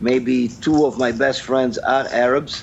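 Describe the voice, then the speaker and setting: With a Brazilian accent, a man talks over noticeable background noise. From Brazil, Sao Paulo. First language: Brazilian Portuguese. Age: 50s. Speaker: sports management professor. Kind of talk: interview. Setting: video call.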